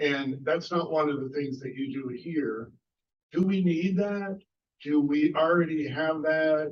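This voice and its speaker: This man talks at a fairly slow pace in a fairly high voice, with ordinary pitch variation. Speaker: audience member asking a question. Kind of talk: audience question in Q&A. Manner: loud, shouted without mic. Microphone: no microphone, shouting from the audience.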